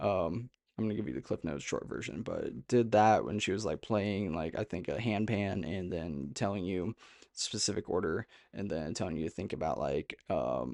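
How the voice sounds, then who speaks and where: A man with a fairly low pitch and vocal fry talks at a moderate pace with ordinary pitch variation, the sound dry and close with no echo against a quiet background. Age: 30s. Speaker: spiritual content creator. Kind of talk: monologue to camera.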